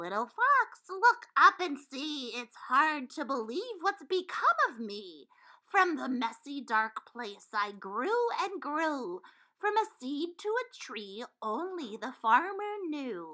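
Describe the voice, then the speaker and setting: Doing a put-on character voice, a woman talks at a very slow pace with a high pitch and very wide pitch swings. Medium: read story.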